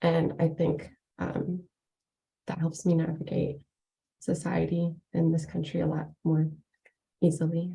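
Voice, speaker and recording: Speaking at a fairly slow pace with long, frequent pauses, a woman uses a fairly low pitch, vocal fry, a dark, mellow tone and monotone, flat intonation. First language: not English. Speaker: workshop participant. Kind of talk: online workshop sharing.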